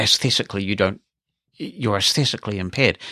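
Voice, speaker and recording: A man's fairly low voice with a bright, sharp tone and a New Zealand accent, dry and close with no echo. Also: very clean recording, silent background. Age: 50s. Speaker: podcast host, former radio presenter. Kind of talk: casual podcast monologue.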